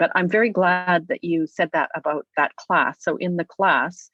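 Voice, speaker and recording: A woman talks at a fairly quick pace in a fairly low voice. The sound is dry and close with no echo, over a quiet background. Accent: Canadian. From Alberta, Canada. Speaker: novelist and writing teacher. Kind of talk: interview conversation. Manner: hesitant fillers, self-corrections.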